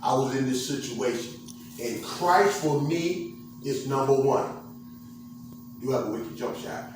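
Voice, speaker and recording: A man with an American accent speaks at a fairly slow pace with long, frequent pauses, his medium pitch showing ordinary variation. Noticeable background noise and audible room echo fill the recording. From Portsmouth, Virginia. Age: 60s. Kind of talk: motivational testimony talk. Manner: animated.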